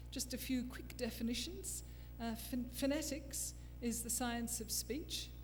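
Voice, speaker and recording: In an Australian accent, a woman speaks at a moderate pace, with audible room echo and noticeable background noise. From Australia, Canberra. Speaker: forensic phonetics expert. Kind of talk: lecture.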